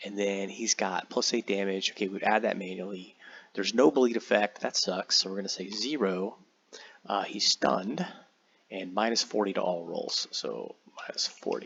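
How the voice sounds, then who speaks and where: A man's unremarkable speaking voice at a fairly low pitch, moderate pace, and ordinary pitch variation. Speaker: tabletop game software tutorial creator. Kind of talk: tutorial. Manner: casual, many fillers and repeats.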